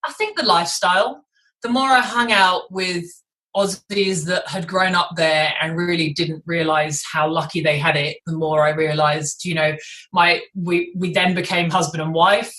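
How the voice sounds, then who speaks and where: A woman's fairly low voice with a British accent, bright and sharp in tone, at a moderate pace with ordinary pitch variation. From England, London. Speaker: vegan athlete, ex personal trainer. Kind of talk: interview.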